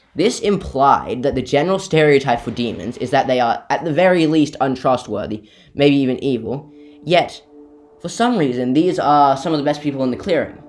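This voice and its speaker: A man speaks in a fairly high voice at a moderate pace. Music plays in the background. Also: ordinary pitch variation. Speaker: YouTube theory video narrator. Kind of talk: game lore theory narration. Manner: some stammering and pauses.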